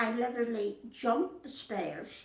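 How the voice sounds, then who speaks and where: A woman talks at a fairly slow pace with a Northern Irish accent. Her pitch sits fairly high. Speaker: Second World War civilian witness. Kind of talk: oral history interview.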